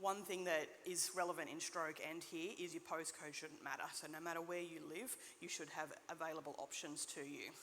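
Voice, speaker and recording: A woman speaks with an Australian accent and a fairly low pitch. Audible room echo surrounds her voice. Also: fairly even intonation. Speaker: nurse practitioner. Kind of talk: conference talk. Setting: stage with audience. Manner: fast.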